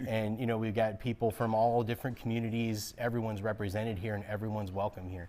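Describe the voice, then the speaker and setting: A man with a fairly low pitch speaks very fast in a flat monotone. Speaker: interviewee. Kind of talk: interview answer. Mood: cheerful, laughing often. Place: shop. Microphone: lapel.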